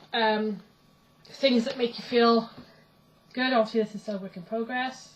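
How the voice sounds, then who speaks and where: Over noticeable background noise, a woman speaks at a fairly high pitch with monotone, flat intonation and big swings in loudness. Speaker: pagan vlogger. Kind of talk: casual vlog. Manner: fast.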